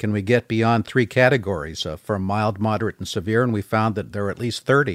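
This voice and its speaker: Very fast speech from a man with a General American accent, fairly low in pitch with ordinary pitch variation, dry and close with no echo on a very clean recording with a silent background. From US West Coast, San Francisco Bay Area. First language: French. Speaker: government scientist. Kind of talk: casual chat. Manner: halting.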